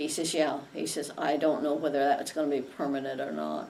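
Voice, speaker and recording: A woman speaks at a moderate pace with a very deep, low pitch. Noticeable background noise runs underneath. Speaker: Vietnam-era navy nurse. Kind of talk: interview answer.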